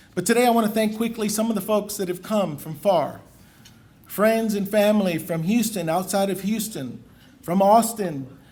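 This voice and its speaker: This man's voice sits high in pitch, with ordinary pitch variation. He speaks at a moderate pace, and room echo is audible. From Puerto Rico. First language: Spanish. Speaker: lawyer, bar association president. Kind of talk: formal acceptance speech. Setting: banquet stage with audience.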